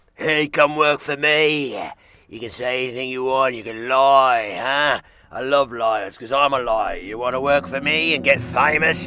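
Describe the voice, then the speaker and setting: Putting on a character voice in a Cockney accent, a man speaks at a medium pitch and a moderate pace. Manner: sly, tempting.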